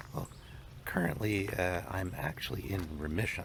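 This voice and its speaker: With fairly even intonation, a man talks over noticeable background noise. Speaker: cancer scientist. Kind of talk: casual talk to camera.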